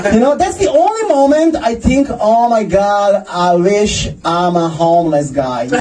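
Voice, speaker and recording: With a Croatian accent, the speaker moves at a fairly slow pace through very wide pitch swings, with music in the background and audible room echo. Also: man. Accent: Croatian accent, others say sounds Russian. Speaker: stand-up comedian. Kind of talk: stand-up. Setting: stage with audience in a basement.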